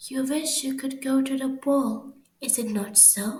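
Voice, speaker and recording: Speaking at a fairly slow pace, a woman puts on a character voice. Her pitch is high. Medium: read story.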